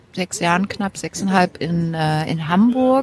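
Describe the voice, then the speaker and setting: Noticeable background noise sits behind a woman whose ordinary pitch variation comes through in a dry, close sound with no echo. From Thuringia (Weimar), born in Halle. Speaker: media researcher. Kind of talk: casual chat. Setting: outdoor café.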